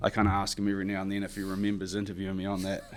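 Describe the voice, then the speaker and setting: A man speaks with a New Zealand accent. His intonation is monotone and flat. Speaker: construction superintendent. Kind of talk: podcast interview. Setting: studio in high-rise office.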